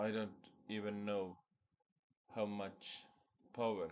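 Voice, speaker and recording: A man talks in a fairly low voice with a non-native accent. His intonation stays monotone and flat. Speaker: spiritual content creator. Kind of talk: personal vlog monologue.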